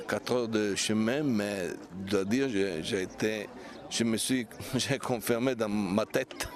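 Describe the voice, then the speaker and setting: With music in the background, a man speaks very slowly at a medium pitch. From Italy. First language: Italian (speaking French). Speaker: pilgrimage route hiker. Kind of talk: interview. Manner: halting.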